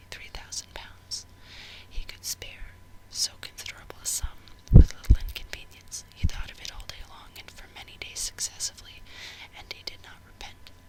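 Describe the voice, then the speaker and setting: The speaker whispers at a moderate pace. Background noise is noticeable. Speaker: ASMR creator. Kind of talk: audiobook reading. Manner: whispered.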